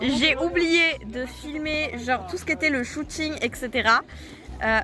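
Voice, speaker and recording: A woman with a high pitch uses a raised, projected voice and lively intonation, speaking at a very slow pace over noticeable background noise. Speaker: cosplayer and vlogger. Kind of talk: casual vlog.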